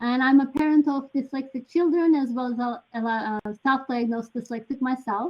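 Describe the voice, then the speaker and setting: A high-pitched woman with a non-native accent. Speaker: children's book publisher. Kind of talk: webinar presentation.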